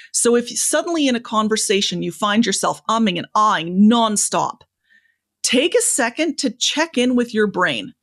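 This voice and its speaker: This woman has a normal speaking voice with a fairly high pitch and lively intonation. She keeps a moderate pace over a quiet background. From Canada. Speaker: public speaking coach. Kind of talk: interview conversation, advice.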